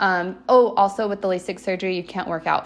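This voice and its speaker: Her medium-pitched voice shows fairly even intonation as the woman speaks. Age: 20s. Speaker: dental hygienist podcaster. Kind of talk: casual solo podcast monologue.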